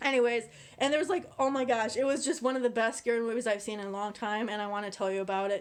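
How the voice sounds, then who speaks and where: At a very fast pace, a woman speaks at a fairly high pitch. Her tone is animated, with ordinary pitch variation. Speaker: YouTuber, movie reviewer. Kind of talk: casual vlog review. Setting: on camera.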